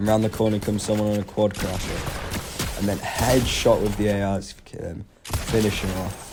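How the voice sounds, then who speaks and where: At a moderate pace, a man speaks in a flat monotone over noticeable background noise. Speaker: gamer. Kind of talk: gameplay voiceover commentary.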